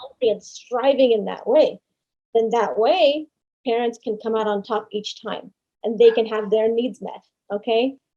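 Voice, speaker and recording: A woman's dark, mellow voice carries a passionate tone over fairly even intonation. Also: fairly high pitch for a woman, moderate pace. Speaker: podcast guest discussing parenting and boundaries. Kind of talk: podcast interview answer.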